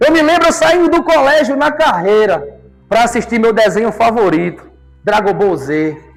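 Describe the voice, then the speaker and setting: Against noticeable background noise and audible room echo, a man speaks with lively intonation. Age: 30s. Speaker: lay preacher. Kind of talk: sermon.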